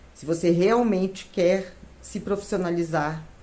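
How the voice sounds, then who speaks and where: With audible room echo around her, a woman speaks fairly slowly in a fairly low pitch with ordinary pitch variation. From Minas Gerais, Brazil (São João del Rei). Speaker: retired civil servant, baking course student. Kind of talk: testimony.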